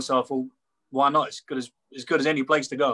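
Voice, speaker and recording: With a British accent, a man talks very fast in a fairly high, bright, sharp voice with fairly even intonation and a dry, close sound with no echo. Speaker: wheelchair racer. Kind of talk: casual interview. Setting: video call.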